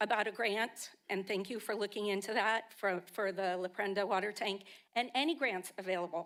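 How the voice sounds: A woman's raspy, put-on character voice at a medium pitch, moderately paced, with fairly even intonation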